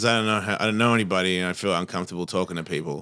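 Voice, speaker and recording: A man with an American accent speaks at a fairly low pitch in a bright, sharp tone. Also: very clean recording, silent background. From Australia. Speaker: comedian and podcaster.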